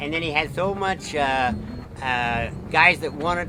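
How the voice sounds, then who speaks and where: Music plays in the background behind a man. His fairly high voice has lively intonation. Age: 80s+. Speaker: motorcycle land speed racer. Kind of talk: interview answer. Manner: rambling, casual.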